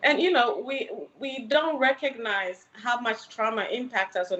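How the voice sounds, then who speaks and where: Against noticeable background noise, a woman speaks fairly slowly with lively intonation. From Ghana, then New York City from age 15. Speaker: licensed mental health counselor. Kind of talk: podcast interview.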